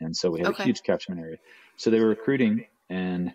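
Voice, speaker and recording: A quiet background and a man going at a fairly quick pace. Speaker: remote podcast guest. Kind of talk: interview answer. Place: office. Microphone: video call.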